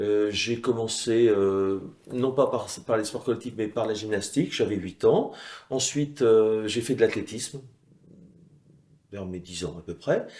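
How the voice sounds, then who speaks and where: Speaking fairly slowly with long, frequent pauses, a man at a medium pitch has a dark, mellow tone and ordinary pitch variation. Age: 60s. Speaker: former weightlifting champion. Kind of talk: interview testimony. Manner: hesitant with frequent fillers.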